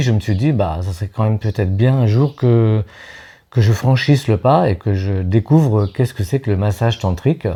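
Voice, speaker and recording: On a very clean recording with a silent background, a man with a dark, mellow tone and fairly low pitch speaks at a moderate pace with ordinary pitch variation. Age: 60s. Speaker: massage practitioner, workshop participant. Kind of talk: interview. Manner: halting, many hesitations.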